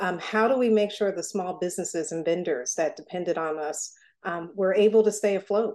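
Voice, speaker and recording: With an unremarkable speaking voice, a woman talks at a moderate pace and medium pitch, with ordinary pitch variation, over a quiet background. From Newark, New Jersey. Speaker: foundation executive. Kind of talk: interview.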